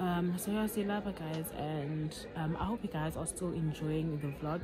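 Crowd noise fills the background as a woman talks at a moderate pace. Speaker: vlogger. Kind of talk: casual vlog chat. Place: open country. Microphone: phone near.

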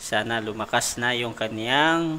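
His tone comes across bright and sharp. The man's pitch is mid-range. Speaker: debate moderator, livestream admin. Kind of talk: livestream moderation. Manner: casual, laughing.

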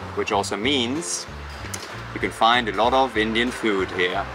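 With music in the background and a dry sound with no echo, a man speaks at a moderate pace. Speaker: travel vlogger. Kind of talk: casual vlog chat. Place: cafe.

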